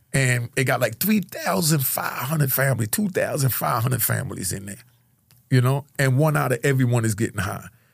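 A man's medium-pitched, animated voice with vocal fry, lively intonation and a fairly quick pace. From Jamaica, raised in New York. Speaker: former drug kingpin and ex-prisoner. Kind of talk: casual interview. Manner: animated storyteller.

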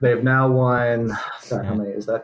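Speaking at a moderate pace, the man has an unremarkable speaking voice of medium pitch and fairly even intonation. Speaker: college basketball writer. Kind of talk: casual chat.

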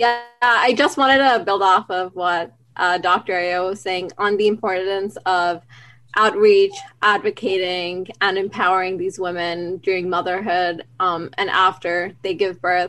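A woman speaks in a normal speaking voice. Her intonation is fairly even and her pace fairly slow. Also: medium pitch for a woman. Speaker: university student. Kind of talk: podcast interview.

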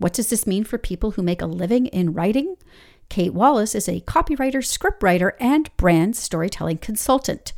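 Here a woman uses an ordinary speaking voice, fairly high in pitch, at a moderate pace with lively intonation. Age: 50s. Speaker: podcast host. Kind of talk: scripted narration; interview.

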